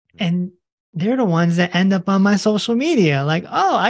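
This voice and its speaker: A man speaks in an animated tone at a high pitch. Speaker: holistic health doctor and author. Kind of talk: interview.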